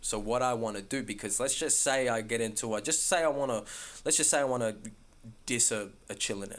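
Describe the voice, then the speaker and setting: A man speaks with an Australian accent at a fairly quick pace, his pitch medium. His tone is animated, with ordinary pitch variation. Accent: Australian natural accent when talking. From Melbourne, Australia. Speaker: rapper. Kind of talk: casual interview chat.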